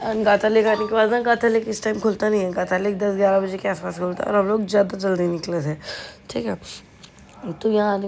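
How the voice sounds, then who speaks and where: Medium pitch belongs to this woman's voice. Her intonation is monotone and flat. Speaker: travel vlogger. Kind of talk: voice-over narration. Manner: casual, chatty.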